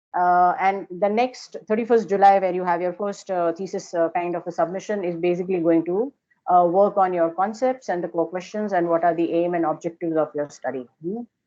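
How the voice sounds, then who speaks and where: This woman's voice is fairly low, with fairly even intonation. She talks at a fairly quick pace. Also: hardly any pauses. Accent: Indian. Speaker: architecture lecturer. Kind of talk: lecture. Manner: hesitant, many fillers.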